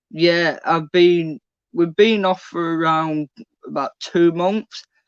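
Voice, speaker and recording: A man with a Yorkshire accent speaks at a very slow pace. His pitch is high and his intonation fairly even. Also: dry, close sound with no echo. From northern England, Leeds. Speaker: trainee bricklayer, former student. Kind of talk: interview on live online event.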